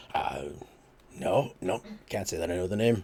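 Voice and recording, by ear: Putting on a gruff character voice, a man speaks at a moderate pace and a medium pitch.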